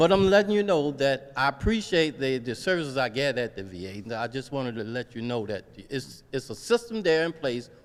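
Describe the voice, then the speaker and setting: A man's rapid-fire delivery at a fairly quick pace, with very wide pitch swings and hardly any pauses. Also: medium pitch for a man. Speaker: veteran, audience member. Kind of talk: public comment at community meeting. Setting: gymnasium meeting with audience.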